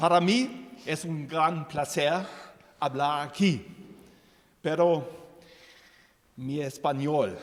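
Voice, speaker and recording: Speaking very slowly with a German accent, a man uses a fairly high pitch and lively intonation, with long, frequent pauses. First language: German (speaking Spanish). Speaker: president of a support association. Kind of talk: formal ceremonial speech. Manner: halting.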